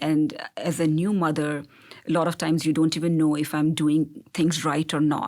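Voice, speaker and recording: Over a silent background in a very clean recording, a woman with a very deep, low pitch speaks at a moderate pace. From India. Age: 40s. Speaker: gynecologist. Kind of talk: interview.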